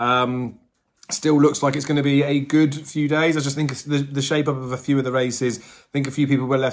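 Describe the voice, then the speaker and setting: A man with an English accent, medium pitch and a fairly quick pace. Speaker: horse racing tipster. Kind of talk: betting tips video monologue. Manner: fast.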